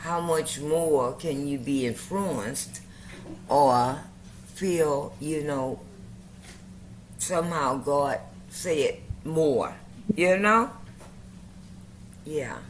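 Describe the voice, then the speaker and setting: A woman speaks at a very slow pace, leaving long, frequent pauses. Her intonation is lively, and audible room echo surrounds her voice. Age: 70s. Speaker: community member sharing faith journey. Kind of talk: casual group chat. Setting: video call.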